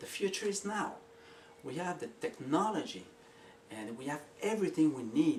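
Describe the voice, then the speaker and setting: With a French Canadian accent, a man talks at a fairly slow pace, his pitch swinging very widely, amid noticeable background noise. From Quebec. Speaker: inventor and video maker. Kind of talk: casual pitch to camera. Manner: drops H and S sounds; hesitant with fillers.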